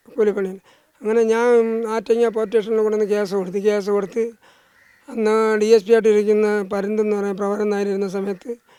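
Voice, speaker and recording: This man speaks in a high pitch with a monotone, flat intonation. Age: 60s. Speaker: evicted elderly labourer. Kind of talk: interview testimony. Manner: halting.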